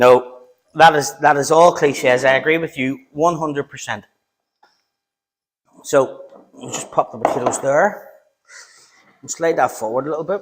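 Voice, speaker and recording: A man talks at a moderate pace and a fairly high pitch. His loudness swings widely, with long, frequent pauses. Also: ordinary pitch variation. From Northern Ireland, Belfast. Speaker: home cook YouTuber. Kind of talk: live-stream cooking tutorial. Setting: home kitchen. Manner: casual, chatty.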